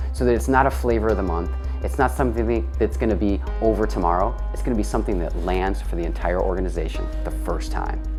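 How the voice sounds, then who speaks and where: With music in the background, a man with a very deep, low pitch talks at a very fast pace. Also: ordinary pitch variation. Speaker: motivational speaker. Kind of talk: motivational talk to camera.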